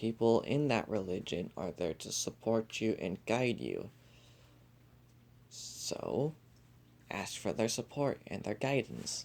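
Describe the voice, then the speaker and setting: Soft-spoken and at a very slow pace, a man with a medium pitch and ordinary pitch variation talks with vocal fry and long, frequent pauses. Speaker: podcast host. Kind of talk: casual podcast monologue.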